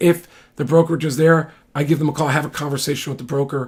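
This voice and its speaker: A man's somewhat breathy, fairly high voice at a fairly quick pace. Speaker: real estate attorney and broker. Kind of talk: informal explainer monologue. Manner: fast; halting, many fillers and restarts.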